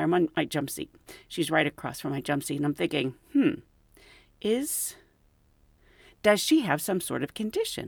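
A woman's voice with an American accent and vocal fry, at a moderate pace and with very wide pitch swings, on a very clean recording with a silent background. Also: dry, close sound with no echo. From United States. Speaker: podcast host and flight attendant. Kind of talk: casual storytelling.

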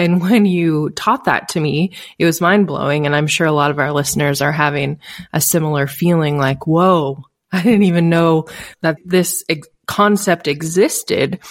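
In an unremarkable speaking voice, a woman with a fairly low pitch talks at a moderate pace with ordinary pitch variation and very even loudness, on a very clean recording with a silent background. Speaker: podcast co-host. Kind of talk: casual discussion. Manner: casual.

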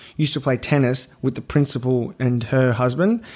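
In an Australian accent, the speaker keeps a moderate pace and ordinary pitch variation. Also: man. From Australia, Melbourne. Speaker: comedian. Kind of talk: casual chat.

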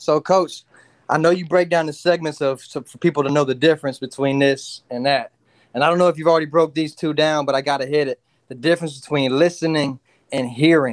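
At a fairly quick pace, a man with a fairly high pitch and an unremarkable speaking voice talks with fairly even intonation. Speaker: caller. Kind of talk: casual sports chat.

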